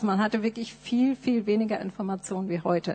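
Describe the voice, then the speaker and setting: A woman talks at a medium pitch with fairly even intonation. She has a plain, everyday voice. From Nuremberg, Germany. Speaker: missionary. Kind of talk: testimony. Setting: church.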